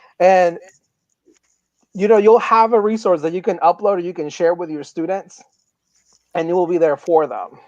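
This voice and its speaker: With a Spanish accent, a man speaks in a high voice with fairly even intonation and long, frequent pauses. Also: moderate pace. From Mexico, Guadalajara. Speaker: tech coach. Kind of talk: casual interview.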